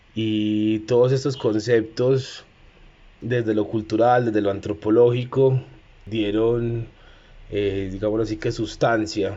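In an Antioquian accent, the speaker talks at a very slow pace with monotone, flat intonation. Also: man, fairly low pitch for a man. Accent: Colombian paisa (Antioquia). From Medellín, Colombia. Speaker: cook and community organizer. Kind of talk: personal testimony and talk. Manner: halting, with fillers.

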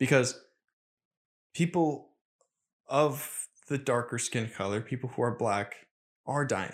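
In a very clean recording with a silent background, a man speaks energetically at a medium pitch with ordinary pitch variation, leaving long, frequent pauses. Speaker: podcast host. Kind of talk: casual solo podcast monologue. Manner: fast talker, mumbles; energetic on topics.

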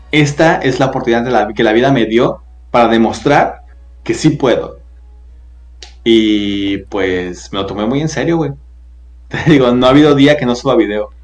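With an animated tone and ordinary pitch variation, the speaker moves at a moderate pace, leaving long, frequent pauses amid audible room echo. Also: man, medium pitch for a man. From Guadalajara, Jalisco, Mexico. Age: 20s. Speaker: TikToker and voice actor. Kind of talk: casual interview chat.

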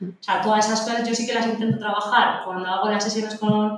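A woman speaks at a very fast pace in a fairly high voice. Room echo is audible. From Spain, outside Madrid. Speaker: marketing expert and gym co-owner. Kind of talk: casual interview chat. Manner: animated, laughs often.

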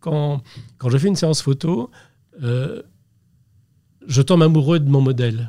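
A man talks slowly with long, frequent pauses in a fairly high voice with a dark, mellow tone. His delivery is somewhat breathy, with ordinary pitch variation. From Brittany, France (Brest). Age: 60s. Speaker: portrait photographer. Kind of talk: interview. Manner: halting, repeats words.

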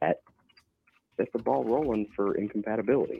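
A man talks at a fairly quick pace in a medium-pitched voice with vocal fry. His pitch swings very widely. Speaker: caller. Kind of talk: advice giving, casual. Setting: phone call.

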